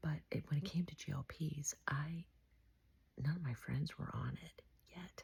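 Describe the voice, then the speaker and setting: A woman speaks with a very deep, low pitch and vocal fry. Her pace is moderate and her intonation fairly even. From beach town. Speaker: vlogger. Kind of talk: casual monologue. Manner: soft-spoken; halting.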